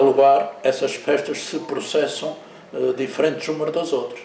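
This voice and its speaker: Noticeable background noise and audible room echo around a man's fairly slow delivery. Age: 70s. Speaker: businessman and local historian. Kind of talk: interview. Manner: hesitant, many fillers.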